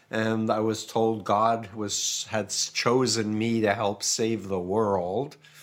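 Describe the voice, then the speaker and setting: A man talks at a very slow pace with hardly any pauses, his fairly low pitch in monotone, flat intonation. Noticeable background noise sits behind him. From New York, US. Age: 60s. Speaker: cult expert and author. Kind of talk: interview.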